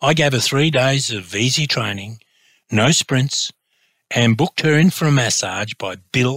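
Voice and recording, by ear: Against a quiet background, the speaker is reading aloud in a natural voice with ordinary pitch variation.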